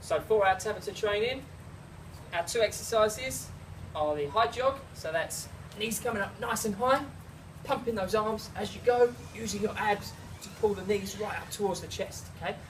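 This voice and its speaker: A South East London accent at a moderate pace, with long, frequent pauses and noticeable background noise. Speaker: personal trainer. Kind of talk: workout tutorial.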